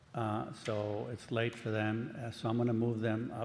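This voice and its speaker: The man's medium-pitched voice stays monotone, with flat intonation. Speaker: planning commission chair. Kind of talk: public meeting chairing.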